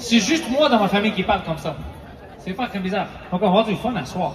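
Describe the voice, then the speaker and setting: A man is heard with audible room echo and crowd noise in the background. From Montreal, Quebec. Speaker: comedian and show host. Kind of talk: stand-up. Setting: stage with audience. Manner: animated.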